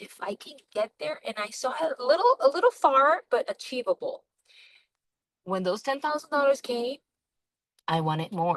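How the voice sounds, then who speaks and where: High-pitched and swinging very widely in pitch, a woman talks at a moderate pace with a non-native accent in a dry, close sound with no echo. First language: not English. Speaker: network marketer. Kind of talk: sales pitch. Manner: halting.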